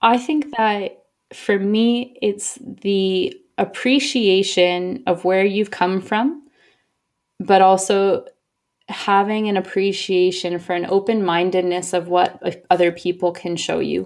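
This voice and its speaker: This woman talks at a very slow pace. Her pitch is medium, with ordinary variation. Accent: American. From US (Oregon and Boston). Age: 30s. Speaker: expat traveller, sports company director. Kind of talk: interview. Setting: online call.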